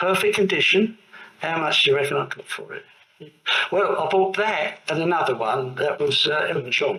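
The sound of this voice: A man talks with a bright, sharp tone and a fairly high pitch. His intonation is lively, and audible room echo surrounds him. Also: moderate pace.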